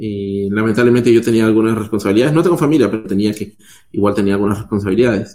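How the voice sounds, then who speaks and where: A man's dark, mellow tone at a very fast pace, with ordinary pitch variation. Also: fairly low pitch for a man. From Peru. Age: 30s. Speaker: software developer.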